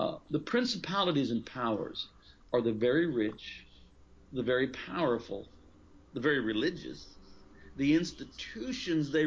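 A man talks in an ordinary speaking voice, fairly high in pitch. His pace is moderate. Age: 50s. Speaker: pastor and author. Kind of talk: interview.

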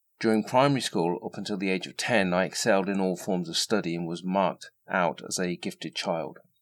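A man with a very deep, low pitch talks at a fairly quick pace with hardly any pauses. His pitch variation is ordinary, and the recording is very clean with a silent background. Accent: English. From England. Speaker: podcast host. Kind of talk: scripted narration. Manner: formal.

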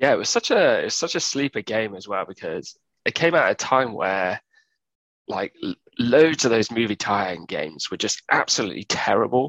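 A man at a moderate pace, dry and close with no echo. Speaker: gaming podcast guest. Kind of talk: casual chat.

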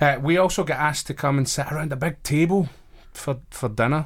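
A man with a Glaswegian accent talks at a very fast pace. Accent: Glaswegian Scottish. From Glasgow, Scotland. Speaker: chaplain and college staff member. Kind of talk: casual interview. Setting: radio studio.

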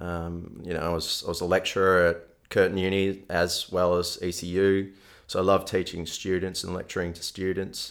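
Speaking with an Australian accent at a moderate pace, a man uses a very deep, low pitch and a monotone, flat intonation in a very clean recording with a silent background. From Melbourne, Australia. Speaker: nutrition coach. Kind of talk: interview.

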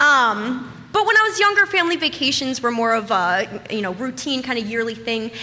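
Amid noticeable background noise and audible room echo, a high-pitched woman talks fairly quickly with very wide pitch swings. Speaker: storyteller. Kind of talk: stand-up. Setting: stage with audience.

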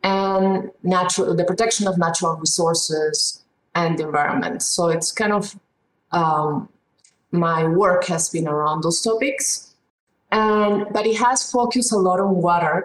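A woman with a Spanish accent, medium pitch and ordinary pitch variation, at a fairly slow pace with very even loudness, music in the background. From Peru. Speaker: economics professor. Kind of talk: interview. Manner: halting, with repeated words.

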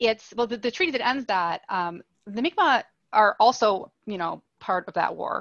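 A woman's fairly high voice in a Canadian accent, a normal speaking voice with lively intonation and a moderate pace. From Nova Scotia, Canada (Halifax). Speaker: historian. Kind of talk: interview.

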